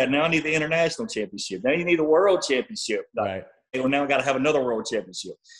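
A man talking at a very fast pace, lively intonation and vocal fry against a quiet background. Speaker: guest. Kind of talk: interview answer. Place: home room. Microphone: video call.

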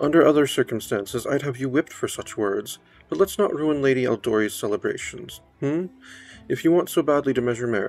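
This plain reading aloud has lively intonation.

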